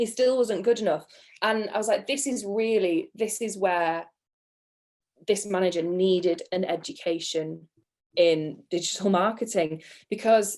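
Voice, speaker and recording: A woman speaks in a British accent with ordinary pitch variation. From England. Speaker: PPC manager. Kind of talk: podcast interview, storytelling.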